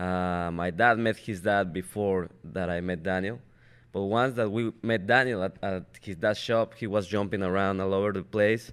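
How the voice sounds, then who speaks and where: The intonation stays fairly even throughout. The recording is very clean, with a silent background. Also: man, fairly low pitch for a man, moderate pace. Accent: Spanish. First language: Spanish. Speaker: race car driver. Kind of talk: interview. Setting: studio.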